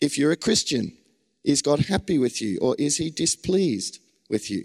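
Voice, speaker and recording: With vocal fry and very wide pitch swings, a man in an Australian accent talks at a moderate pace in a dry, close sound with no echo. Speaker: preacher. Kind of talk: sermon.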